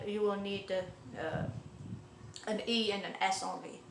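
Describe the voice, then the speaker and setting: A woman speaks at a fairly slow pace. The room echo is audible and there is noticeable background noise. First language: Arabic (also French). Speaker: language teacher. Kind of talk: tutorial. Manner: halting, many fillers.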